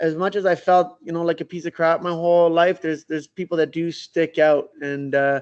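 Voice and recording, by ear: With a clear, smooth tone and fairly high pitch, a man talks at a moderate pace with little pitch movement.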